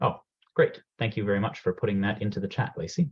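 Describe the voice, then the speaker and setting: A man with a Canadian accent, very fast and somewhat breathy, with very wide pitch swings. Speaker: program manager presenting a career workshop. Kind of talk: webinar presentation. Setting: video call from home.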